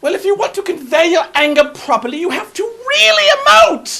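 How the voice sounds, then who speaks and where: Here is a put-on character voice with a high pitch and a theatrical, pompous tone. It moves at a moderate pace. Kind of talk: comic overacting. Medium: comedy sketch. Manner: over-the-top theatrical, pompous.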